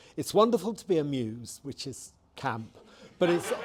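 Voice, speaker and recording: This man has a fairly high pitch and speaks at a fairly slow pace. There is noticeable background noise. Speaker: LGBT activist. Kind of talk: interview answer.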